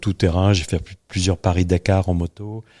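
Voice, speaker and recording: A man's very deep, low voice, dark and mellow in tone, monotone and flat, in a dry, close sound with no echo. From northern France. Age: 60s. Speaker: retired business owner. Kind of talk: interview.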